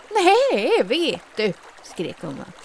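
Noticeable background noise surrounds a woman's voice. Her pitch swings very widely. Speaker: fairy tale narrator. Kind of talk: fairy tale storytelling.

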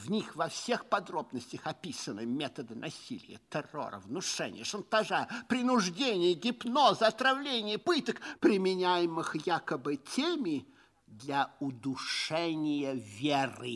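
A man's put-on character voice, fairly high in pitch, with big pitch swings, a fairly bright tone, a fairly slow pace and few pauses

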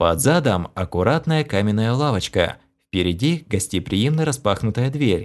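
An unforced reading voice, lively in intonation, over quiet surroundings

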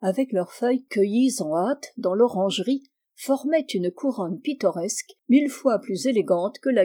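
Quiet background behind a natural reading voice

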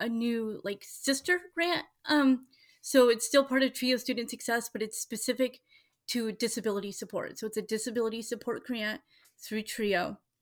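On a very clean recording with a silent background, a woman with a General American accent and a plain, everyday voice speaks at a moderate pace, with a fairly high pitch and ordinary pitch variation. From Washington State. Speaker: school board candidate. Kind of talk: interview.

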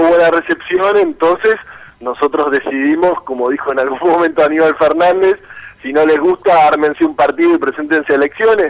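Pausing little, a man with a fairly high voice speaks with ordinary pitch variation.

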